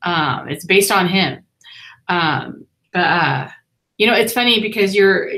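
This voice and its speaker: The voice is loud, with a bright, sharp tone. Its pitch varies in an ordinary way. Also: woman. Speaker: family vlogger interviewing an author. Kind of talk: live-stream interview chat. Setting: live online hangout.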